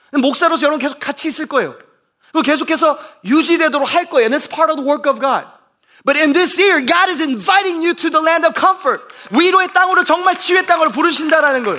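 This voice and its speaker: Raised and projected, a man's extremely high-pitched voice races along at a very fast pace, animated in tone and bright and sharp. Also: ordinary pitch variation. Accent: American. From US Midwest, Bloomington, Indiana. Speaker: pastor. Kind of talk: sermon. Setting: church. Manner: code-switching between Korean and English.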